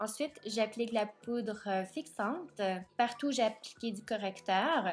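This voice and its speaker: Over background music, a woman with a fairly high pitch and ordinary pitch variation talks at a fairly slow pace. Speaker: makeup vlogger. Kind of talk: makeup tutorial.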